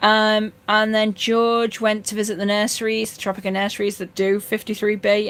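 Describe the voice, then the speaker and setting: With a Yorkshire accent, a woman talks at a fairly quick pace with hardly any pauses on a very clean recording with a silent background. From North Yorkshire, northern England. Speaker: fishkeeping live streamer. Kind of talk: live stream chat reading comments. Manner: casual, many fillers and restarts.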